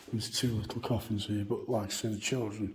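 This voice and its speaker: Speech comes at a very fast pace with fairly even intonation and audible room echo. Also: man. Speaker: paranormal video presenter. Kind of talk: walking tour vlog to camera. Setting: church grounds. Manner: halting, with fillers.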